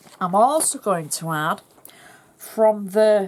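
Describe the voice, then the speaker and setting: A woman with a Yorkshire accent talks at a very slow pace, her pitch medium and her intonation lively. Noticeable background noise sits behind her. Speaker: craft demonstrator. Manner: chatty, instructional.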